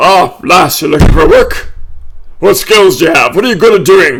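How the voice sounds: This man's put-on character voice sits at a high pitch. His pace is moderate.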